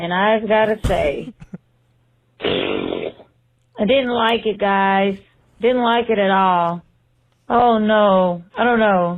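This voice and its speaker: A woman's very slow, medium-pitched speech in a Southern accent, with long, frequent pauses, fairly even intonation and very even loudness. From Texas, Beaumont. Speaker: listener leaving voicemail. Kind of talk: voicemail message. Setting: phone voicemail. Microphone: poor phone audio.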